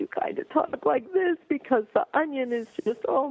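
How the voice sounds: A man's put-on character voice, nasal and extremely high-pitched, at a moderate pace.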